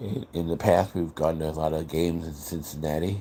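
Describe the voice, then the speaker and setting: With an American accent, a man speaks at a moderate pace in a very deep, low pitch, his tone dark, mellow and relaxed. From US Midwest, Chicago area. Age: 60s. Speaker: livestreamer, factory worker. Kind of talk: casual livestream chat. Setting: live stream at night. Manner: relaxed, rambling with hesitations.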